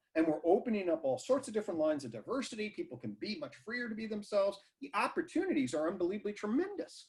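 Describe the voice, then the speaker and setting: A very fast, animated male voice, high in pitch, with very wide pitch swings and hardly any pauses. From US, northern Virginia. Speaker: psychology professor. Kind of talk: online talk Q&A.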